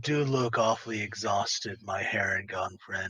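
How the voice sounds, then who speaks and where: A man's put-on character voice at medium pitch, moving at a moderate pace. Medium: actual play. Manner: soothing, gentle.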